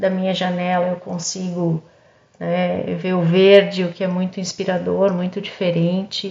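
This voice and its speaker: A woman's somewhat breathy, medium-pitched voice, monotone and flat, at a fairly slow pace. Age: 50s. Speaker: pharmacist and cosmetics entrepreneur. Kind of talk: podcast interview testimony. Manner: halting, repeats words.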